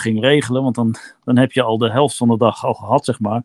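A man's very fast speech with fairly even intonation, dry and close with no echo, on a very clean recording with a silent background. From eastern Netherlands, Kampen. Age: 50s. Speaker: long-distance cyclist. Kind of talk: interview, casual chat. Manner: halting, many filler words.

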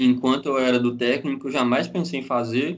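Here is a man with an ordinary speaking voice at medium pitch. He keeps a moderate pace and fairly even intonation. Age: 20s. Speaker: mechanical engineer. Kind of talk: casual chat.

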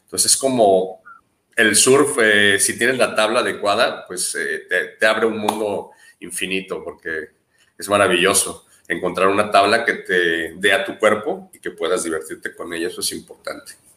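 The speaker moves at a moderate pace, with big swings in loudness. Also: man. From Mexico, Jalisco. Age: 30s. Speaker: adventure tourism business owner. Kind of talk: interview.

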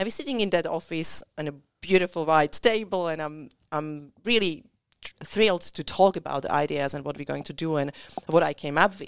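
A woman with a non-native accent speaks at a moderate pace and a fairly low pitch, with ordinary pitch variation and big swings in loudness. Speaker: business owner and speaker. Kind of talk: casual chat.

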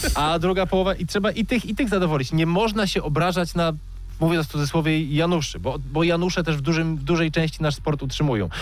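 Talking at a very fast pace, a man keeps a very even loudness, with a fairly high pitch and ordinary pitch variation. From Poland, Zielona Góra. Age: 30s. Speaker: radio host and speedway commentator. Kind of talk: casual radio interview. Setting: radio studio.

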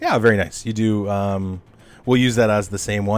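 A natural reading voice comes through with fairly even intonation.

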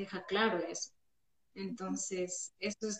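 Fairly even intonation and medium pitch from a woman with an ordinary speaking voice. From Ecuador, Loja. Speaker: church member, friend of host. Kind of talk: casual Bible study chat. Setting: Instagram live.

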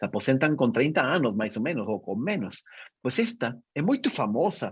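A man with very wide pitch swings and vocal fry. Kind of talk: interview conversation.

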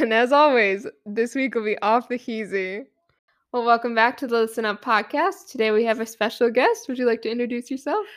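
A woman with an American accent has a plain, everyday voice, fairly high in pitch with ordinary pitch variation. She speaks at a fairly quick pace on a very clean recording with a silent background. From eastern Michigan. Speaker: student podcast host. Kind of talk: casual interview; announcements.

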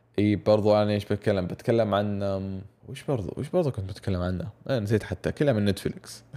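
At a fairly quick pace, a man speaks in a dark, mellow tone with a fairly low pitch and ordinary pitch variation. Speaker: podcast host. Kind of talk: casual monologue.

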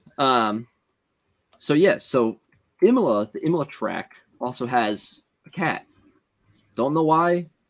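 In a very clean recording with a silent background, a man with a Philadelphia accent speaks at a fairly slow pace in a fairly high voice, with long, frequent pauses. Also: lively intonation. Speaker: podcast co-host. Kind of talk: casual chat.

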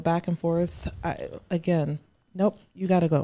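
A woman speaks with a dark, mellow tone. Her pitch variation is ordinary. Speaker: guest on community podcast. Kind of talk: casual chat. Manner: loud.

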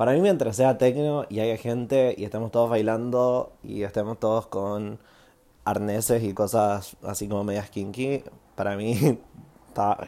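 A man at medium pitch, dark, mellow tone, fairly slow pace and ordinary pitch variation, on a very clean recording with a silent background. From Chile, Santiago. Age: 20s. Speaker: podcast host, musician. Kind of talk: casual monologue, storytelling.

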